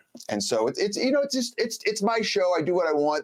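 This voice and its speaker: Against noticeable background noise, a man's voice swings very widely in pitch. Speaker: podcast host. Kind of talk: casual chat. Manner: fast; animated.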